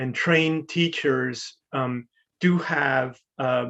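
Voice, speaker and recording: This man speaks with an American accent at a medium pitch and ordinary pitch variation. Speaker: public health researcher. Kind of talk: webinar Q&A answer. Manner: halting, many fillers.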